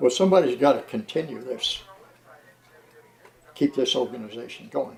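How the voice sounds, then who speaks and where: Against noticeable background noise, a man speaks at medium pitch and a moderate pace with lively intonation. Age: 80s+. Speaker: heritage railway president. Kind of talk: documentary interview. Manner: halting.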